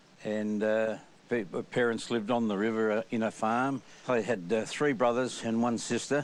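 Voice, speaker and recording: With an Australian accent, a man speaks at medium pitch and a moderate pace. His loudness is very even and his intonation fairly even. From Australia, New South Wales. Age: 80s+. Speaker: former rugby league player. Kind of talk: interview reminiscence.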